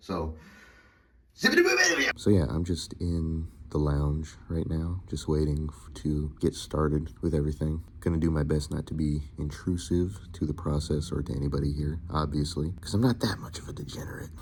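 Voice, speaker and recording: A man's very deep, low voice moves at a moderate pace with fairly even intonation. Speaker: voice actor. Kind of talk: casual talk to camera.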